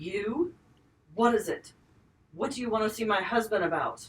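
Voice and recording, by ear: This is a put-on character voice with a fairly high pitch. It sounds strained and moves at a moderate pace.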